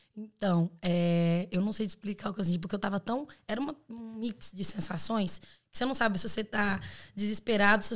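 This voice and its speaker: A woman with a normal speaking voice talks at a fairly quick pace and a medium pitch, with ordinary pitch variation. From Brazil, Belo Horizonte (Minas Gerais). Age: 20s. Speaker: exchange student. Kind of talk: casual chat.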